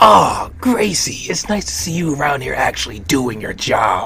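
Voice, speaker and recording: A put-on character voice from a man at medium pitch and moderate pace, with clear background noise. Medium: audio drama. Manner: mocking, laughing.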